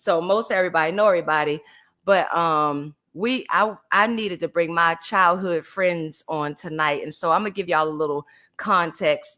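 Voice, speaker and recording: This voice has an American accent and a bright, sharp, animated tone. It moves at a moderate pace on a very clean recording with a silent background. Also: woman, fairly low pitch for a woman, ordinary pitch variation. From Baltimore, Maryland. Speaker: podcast host. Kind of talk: casual chat.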